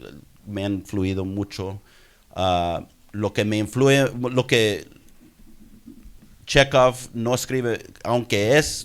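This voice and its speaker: A man with an American accent talks at a very slow pace in a fairly low pitch. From US, Houston, Texas. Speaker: doctor and writer. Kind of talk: audience comment at conference. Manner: halting, many repetitions.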